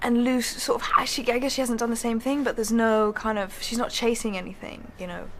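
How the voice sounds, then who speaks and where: With a British accent, a woman races along at a very fast pace with hardly any pauses, a fairly high pitch and fairly even intonation over noticeable background noise. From England. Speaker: actress. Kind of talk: interview answer. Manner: casual, chatty.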